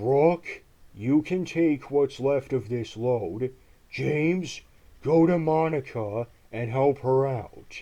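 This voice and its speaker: The speaker uses a put-on character voice with a stern tone. Delivery is very slow. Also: man, medium pitch for a man. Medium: audio drama. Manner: stern, authoritative.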